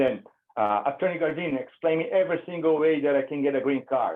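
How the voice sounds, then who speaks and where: A moderate pace, a Brazilian Portuguese accent, and ordinary pitch variation. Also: man. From Brazil, São Paulo. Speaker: immigration attorney. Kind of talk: webinar presentation. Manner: casual, conversational.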